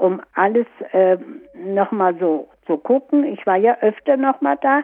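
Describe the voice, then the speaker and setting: Lively intonation marks this woman's medium-pitched voice. She speaks at a very slow pace. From Farther Pomerania (Stolp district), expelled 1947, then Görlitz. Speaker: war expellee eyewitness. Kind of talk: life-story interview. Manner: halting.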